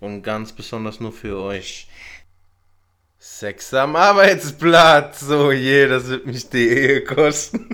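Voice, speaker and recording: At a very slow pace, a man talks with a bright, sharp tone. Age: 30s. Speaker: podcast host. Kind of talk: casual chat.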